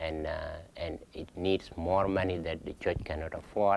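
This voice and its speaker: A man with a South Sudanese accent speaks at a moderate pace in a very deep, low pitch, his intonation monotone and flat. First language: Dinka. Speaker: pastor. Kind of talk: Q&A talk. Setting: lunch event with audience. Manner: halting.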